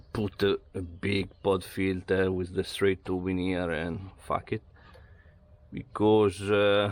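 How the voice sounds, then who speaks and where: A man with an Italian accent speaks very slowly at a fairly low pitch. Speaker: amateur car mechanic / garage vlogger. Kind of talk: casual DIY car talk to camera. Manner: hesitant, with filler words.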